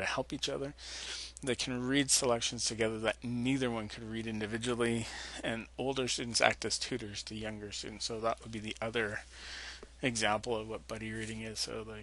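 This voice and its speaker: A man talks at a medium pitch and a fairly quick pace. His tone is bright and sharp, with fairly even intonation. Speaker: teacher. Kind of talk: lecture. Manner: fast.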